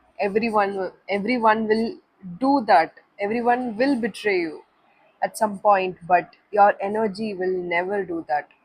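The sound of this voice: A woman's medium-pitched voice with a slightly husky edge, moderate pace, fairly even intonation and few pauses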